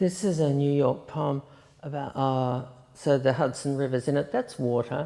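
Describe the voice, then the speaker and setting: In an Australian accent, a woman with a very deep, low pitch and a dark, mellow tone speaks at a moderate pace with fairly even intonation. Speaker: poet. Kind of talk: poetry reading.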